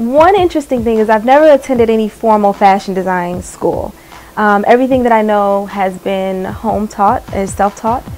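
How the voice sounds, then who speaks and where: Fairly high-pitched woman with an American accent at a moderate pace, ordinary pitch variation, and noticeable background noise. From Chicago, Illinois, US Midwest. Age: 20s. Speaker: fashion designer. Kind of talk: interview monologue. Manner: hesitant, many fillers.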